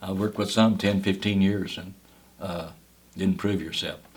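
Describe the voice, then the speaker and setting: A man with a Kentucky accent speaks at a moderate pace in a fairly low voice. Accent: Southern US, Kentucky. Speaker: cave guide, park ranger. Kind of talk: oral history interview answer.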